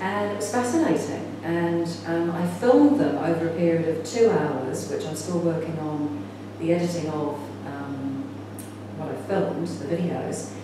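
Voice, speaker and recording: Strong room echo and noticeable background noise surround a woman speaking. She keeps a moderate pace with lively intonation. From England, then New Zealand from age 14. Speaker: spiritual teacher and film director. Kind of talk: conference talk. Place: home room. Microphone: camera far.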